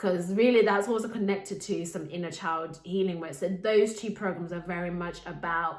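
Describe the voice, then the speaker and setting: In a room with audible echo, a woman with a Zimbabwean accent speaks at a fairly low pitch with fairly even intonation. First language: Shona. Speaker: life coach and podcast host. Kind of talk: podcast monologue.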